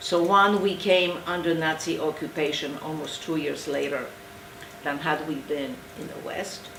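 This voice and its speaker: Amid noticeable background noise and audible room echo, a woman talks at a moderate pace with fairly even intonation but big swings in loudness. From eastern Poland. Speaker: Holocaust survivor. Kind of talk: testimony. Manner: halting.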